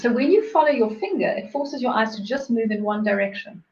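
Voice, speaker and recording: At a fairly quick pace, a woman with a fairly high pitch speaks with ordinary pitch variation amid audible room echo. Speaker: interviewer and self-love coach. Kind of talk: casual interview. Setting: live video stream. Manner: fast; animated.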